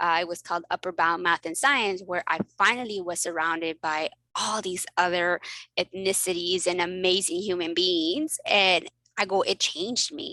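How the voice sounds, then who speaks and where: In a very clean recording with a silent background and a dry, close sound with no echo, a woman of medium pitch talks at a moderate pace in an animated, bright, sharp tone. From Mexico, then South Texas. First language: Spanish. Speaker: family physician and coach. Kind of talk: casual interview chat.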